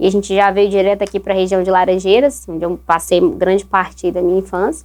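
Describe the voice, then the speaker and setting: A woman with a Minas Gerais accent, medium pitch, fairly even intonation and a fairly quick pace. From Brazil, Espírito Santo (Serra), born in Minas Gerais. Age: 30s. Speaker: guest, entrepreneur. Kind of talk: casual interview chat. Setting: recording studio.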